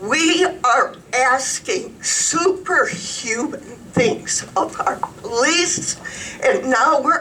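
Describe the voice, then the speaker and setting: Over noticeable background noise, a woman talks at a very slow pace in a raised, projected voice with very wide pitch swings. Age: 70s. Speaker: resident speaking at public comment. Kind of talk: public comment at county commissioners meeting.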